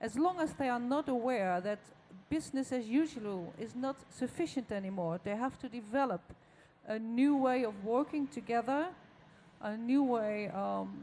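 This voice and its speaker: A woman with a Dutch accent and a dark, mellow tone speaks at a moderate pace in a fairly high pitch with lively intonation. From Netherlands. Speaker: audience member. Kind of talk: audience question. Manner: halting.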